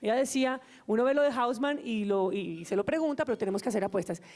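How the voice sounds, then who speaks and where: A woman's high voice at a very fast pace, dark and mellow, with very wide pitch swings. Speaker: government official, panelist. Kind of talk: panel discussion.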